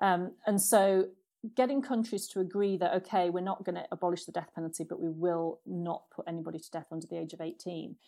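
A woman's dark, mellow voice at a fairly low pitch and fairly quick pace, with ordinary pitch variation and big swings in loudness, in a very clean recording with a silent background. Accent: British. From Britain. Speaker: diplomat. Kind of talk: interview conversation.

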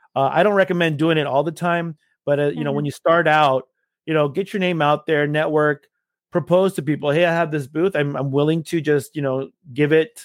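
Speaking at a moderate pace, a man with an unremarkable speaking voice uses a fairly high pitch and fairly even intonation. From Los Angeles, California. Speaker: photo booth business owner and DJ. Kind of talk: interview. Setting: home shed office. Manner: casual, with frequent fillers.

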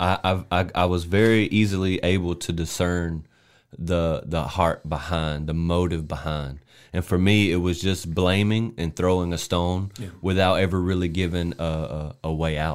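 A man with a Southern US accent, very deep and low in pitch, at a moderate pace with fairly even intonation, in a very clean recording with a silent background. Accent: Southern American. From US South, South Carolina. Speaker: podcast co-host, preacher. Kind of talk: casual chat; testimony.

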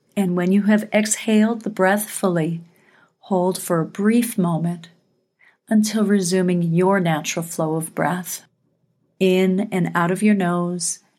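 In an unremarkable speaking voice, a woman speaks at a fairly slow pace with medium pitch and fairly even intonation, on a very clean recording with a silent background. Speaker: meditation guide. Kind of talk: guided meditation. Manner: slow, soothing, calm; gentle, measured pacing with pauses.

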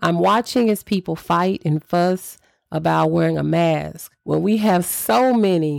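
Here is an ordinary speaking voice from a woman, fairly low in pitch at a moderate pace. The sound is dry and close with no echo, a very clean recording with a silent background. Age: 40s. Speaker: podcast host, faith-based motivational speaker. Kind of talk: faith-based motivational talk. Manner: frequent filler words (um).

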